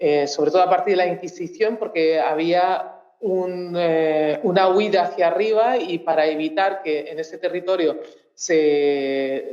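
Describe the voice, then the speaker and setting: Speaking at a fairly slow pace, a woman with a fairly low pitch and ordinary pitch variation is heard amid noticeable background noise and audible room echo. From Mozambique. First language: Portuguese (speaking Spanish). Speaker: researcher. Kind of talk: talk at a public cultural event. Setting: auditorium with audience. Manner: halting, many fillers and restarts.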